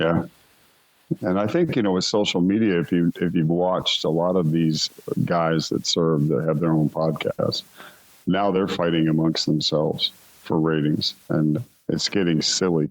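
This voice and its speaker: A man talks at a moderate pace in a very deep, low pitch, keeping his loudness very even and his intonation fairly even. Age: 60s. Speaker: rock singer. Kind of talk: interview.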